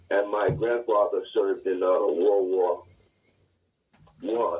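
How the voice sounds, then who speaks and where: A man with an American accent, fairly slow pace and long, frequent pauses, music in the background. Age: 60s. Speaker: martial arts instructor. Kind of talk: interview. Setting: phone call.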